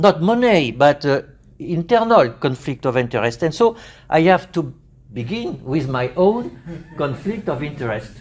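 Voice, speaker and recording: At a moderate pace, a man with a French accent speaks at a fairly high pitch, his pitch swinging very widely. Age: 60s. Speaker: psychiatry professor. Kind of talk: conference lecture. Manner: halting, many fillers.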